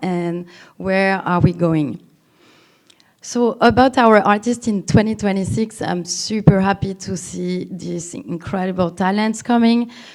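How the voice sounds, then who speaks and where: Speaking at a fairly slow pace, a woman talks with a strong French accent. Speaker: cultural institution representative. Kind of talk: conference talk. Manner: halting, many fillers.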